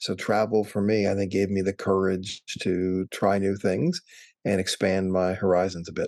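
A man with an American accent speaks at a moderate pace in a fairly low pitch, his intonation monotone and flat and his loudness very even. The sound is dry and close with no echo, over a quiet background. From Wisconsin. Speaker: travel industry association executive. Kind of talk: interview.

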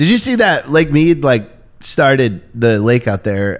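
With an American accent, the speaker moves along at a moderate pace. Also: man. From Maine, US. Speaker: comedian. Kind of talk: casual chat. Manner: rambling, animated.

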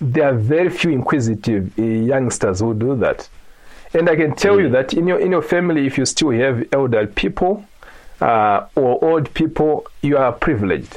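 Speaking with a Zimbabwean accent, a man uses a fairly high pitch, lively intonation, very even loudness and a moderate pace. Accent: Zimbabwean (Shona) English. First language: Shona. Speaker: genealogy and culture blogger. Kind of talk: interview. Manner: halting.

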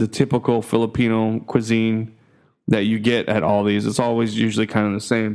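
At a moderate pace, a man with an American accent speaks on a very clean recording with a silent background. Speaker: podcast host. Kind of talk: casual monologue. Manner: hesitant, many fillers.

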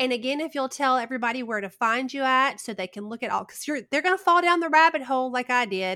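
Speaking with an American accent, a woman projects a raised voice that is high-pitched, bright and sharp. She races at a very fast pace with lively intonation and hardly any pauses, on a very clean recording with a silent background. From US South. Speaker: podcast host. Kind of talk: casual interview chat.

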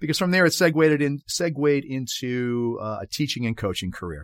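Speaking with a Boston accent, a man uses a medium pitch at a fairly quick pace. Both his pitch and his loudness swing widely. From Boston, Massachusetts. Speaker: podcast host and soccer coach. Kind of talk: solo podcast monologue.

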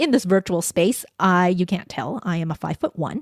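In a very clean recording with a silent background and a dry, close sound with no echo, a woman with a Canadian accent talks at a moderate pace in a normal speaking voice of medium pitch. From Canada, Vancouver. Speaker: voice coach and podcast strategist. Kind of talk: interview. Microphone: podcast microphone close-pickup.

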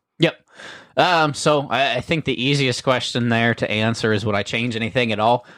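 On a very clean recording with a silent background, a man speaks at a medium pitch. He has a Midwestern US accent. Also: ordinary pitch variation, moderate pace. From US Ohio. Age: 20s. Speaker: livestock breeder and show judge. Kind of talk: casual interview chat.

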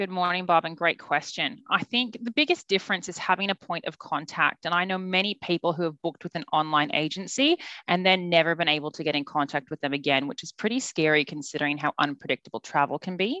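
Speaking at a very fast pace with hardly any pauses, a woman has an Australian accent and a fairly low pitch. Her tone is bright and sharp, her pitch variation ordinary, and the background quiet. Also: dry, close sound with no echo. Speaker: travel agent. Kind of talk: casual chat.

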